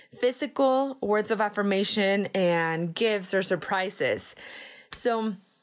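On a very clean recording with a silent background, a woman at medium pitch speaks at a fairly slow pace with a Spanish accent and ordinary pitch variation. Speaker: podcast host, entrepreneur. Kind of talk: solo personal-development monologue. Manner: animated.

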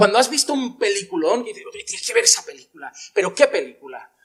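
Here a man is speaking. His pace is moderate. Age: 30s. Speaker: pastor. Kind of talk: sermon.

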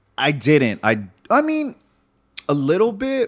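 The recording is very clean, and the background is silent. Lively intonation runs through the man's speech. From Northern California (Fairfield, Solano County). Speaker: entrepreneur and breakdancer. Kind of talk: casual chat.

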